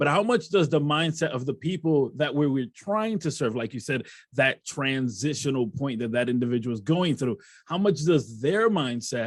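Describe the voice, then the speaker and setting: Here a man uses a normal speaking voice at medium pitch. His pace is moderate and his intonation lively. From Rochester, New York. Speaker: podcast host. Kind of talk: interview.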